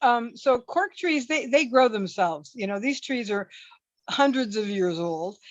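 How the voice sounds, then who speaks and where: A woman talks at a moderate pace in a normal speaking voice. Her pitch is fairly high and her intonation lively. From US Pacific Northwest, Seattle. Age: 60s. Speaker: former athlete and glamping host. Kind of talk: interview.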